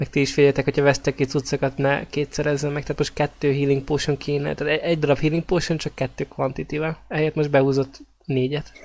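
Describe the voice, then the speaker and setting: The speech runs at a very fast pace. There are hardly any pauses. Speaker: role-playing game player. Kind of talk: tabletop role-playing game session.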